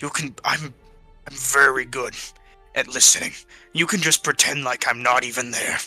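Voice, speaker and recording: A put-on character voice at a low-to-middle pitch and moderate pace, with long, frequent pauses and faint music in the background. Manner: quiet, gentle, shy.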